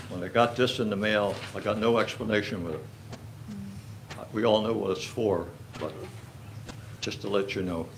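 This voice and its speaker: Speaking at a moderate pace with long, frequent pauses, a man with a fairly low voice and ordinary pitch variation is heard amid audible room echo and noticeable background noise. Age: 80s+. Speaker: resident speaking at public comment. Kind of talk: public comment at borough council meeting. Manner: halting, repetitive.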